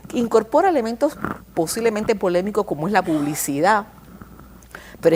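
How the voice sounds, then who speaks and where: Over noticeable background noise, a woman of medium pitch speaks at a fairly quick clip with lively intonation. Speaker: communication scholar. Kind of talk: TV interview. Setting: TV studio. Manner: fast.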